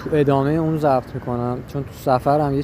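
A man's fairly high voice keeps a monotone, flat intonation at a moderate speed while noticeable noise sits behind him. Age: 20s. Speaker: podcaster. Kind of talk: personal monologue. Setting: outdoors on a street. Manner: halting. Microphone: muffled through face mask.

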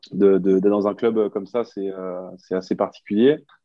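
This man talks at a moderate pace in a fairly low voice. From Belgium, Brussels. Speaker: rugby player. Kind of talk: interview. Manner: halting.

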